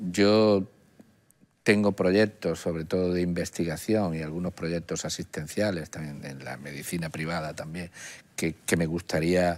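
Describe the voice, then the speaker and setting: Speaking at a fairly slow pace, a man has a very deep, low pitch and fairly even intonation. His loudness swings widely. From Andalusia, Málaga province (Archidona); Andalusia. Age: 60s. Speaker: oncologist; interview guest. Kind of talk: interview. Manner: halting. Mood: calm, reflective. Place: studio. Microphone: lapel.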